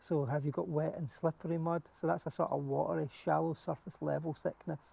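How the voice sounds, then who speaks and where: In a Scottish accent, a man speaks at a fairly quick pace. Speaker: cycling youtuber. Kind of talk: tutorial. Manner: fast.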